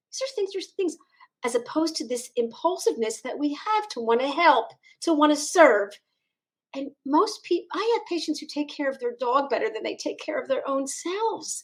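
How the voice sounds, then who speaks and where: A woman speaks with a high pitch. Her voice swings very widely up and down. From US Northeast, Philadelphia. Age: 60s. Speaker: chiropractor. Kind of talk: interview. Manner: fast; animated.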